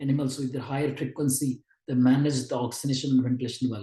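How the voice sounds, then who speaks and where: Very fast and somewhat breathy, a man speaks at a medium pitch with a dark, mellow tone. His intonation stays monotone and flat. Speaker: neonatology lecturer. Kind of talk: online lecture. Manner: halting.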